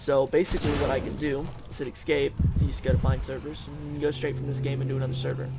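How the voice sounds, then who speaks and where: A man races along at a very fast pace while noticeable background noise and audible room echo fill the recording. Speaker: gaming youtuber. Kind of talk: gameplay commentary. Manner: casual, hesitant with fillers.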